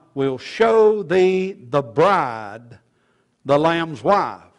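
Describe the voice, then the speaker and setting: Here a man is talking. The background is quiet. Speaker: preacher. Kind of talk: sermon. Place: church. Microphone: podium.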